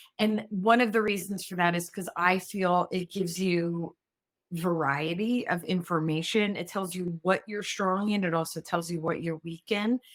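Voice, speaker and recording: With a plain, everyday voice, a woman talks at a moderate pace, her fairly low pitch following a fairly even intonation. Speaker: former executive assistant, speaker. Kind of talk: podcast interview.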